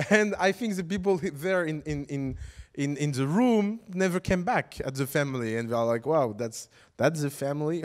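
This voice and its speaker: A man with a non-native accent talks at a moderate pace in an animated tone, with very wide pitch swings. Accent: foreign accent when speaking English. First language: French. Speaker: startup educator. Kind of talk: lecture.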